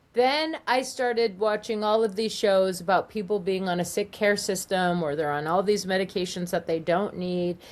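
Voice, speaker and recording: Speaking in a Californian accent at a moderate pace, a woman keeps a medium pitch with ordinary pitch variation and hardly any pauses. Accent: Californian American English. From Southern California. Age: 50s. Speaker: life coach and psychic. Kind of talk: interview testimony. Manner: animated, rambling with self-quotes.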